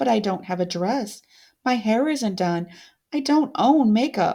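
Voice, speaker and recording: A female-sounding put-on character voice, fairly high in pitch, speaks at a fairly slow pace on a very clean recording with a silent background. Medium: read story. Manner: quiet, earnest.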